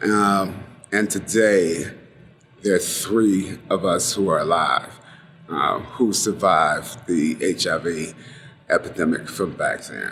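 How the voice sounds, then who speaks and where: A man's fairly low voice, very slow and fairly even in intonation, with music in the background. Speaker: HIV/AIDS activist. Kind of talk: oral history interview answer.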